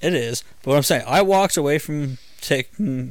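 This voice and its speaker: Talking at a fairly quick pace with an American accent, a man has an unremarkable speaking voice with ordinary pitch variation, in a very clean recording with a silent background. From Illinois. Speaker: podcast host. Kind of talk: casual chat.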